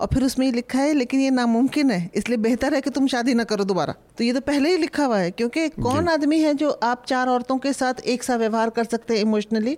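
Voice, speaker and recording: A woman's high-pitched voice at a moderate pace with hardly any pauses, ordinary pitch variation and very even loudness, on a very clean recording with a silent background. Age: 60s. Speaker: historian and author. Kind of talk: panel discussion.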